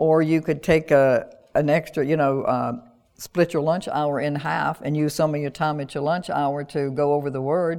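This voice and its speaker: In a Southern US accent, the speaker delivers lines with monotone, flat intonation. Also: woman. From US South, North Carolina (rural). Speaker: pastor. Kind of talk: sermon. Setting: church with online audience.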